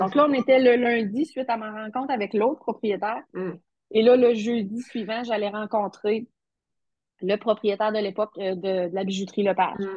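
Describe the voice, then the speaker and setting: A woman talks at a moderate pace in a fairly high pitch, with ordinary pitch variation. She has a normal speaking voice. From Quebec, Matane (Bas-Saint-Laurent). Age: 40s. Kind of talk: interview.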